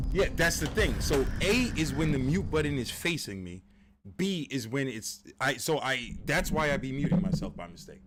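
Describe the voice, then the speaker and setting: A man speaks with a fairly high pitch. His pitch swings very widely. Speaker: gaming streamer. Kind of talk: live gameplay commentary. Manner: loud, projecting. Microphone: mic picks up poorly on one side; viewers say B sounds bad.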